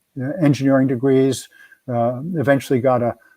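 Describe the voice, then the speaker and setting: With an American accent and a dark, mellow tone, a man speaks at a fairly quick pace with fairly even intonation, the sound dry and close with no echo over a quiet background. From New Jersey, Elizabeth. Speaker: retired engineering executive, reshoring advocate. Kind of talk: interview. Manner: halting, repeats words.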